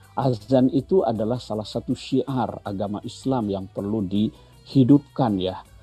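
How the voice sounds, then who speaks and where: Spoken at a fairly slow pace with hardly any pauses and ordinary pitch variation, the voice sits over music in the background. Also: man, medium pitch for a man. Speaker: Islamic cleric. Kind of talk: religious commentary in studio interview.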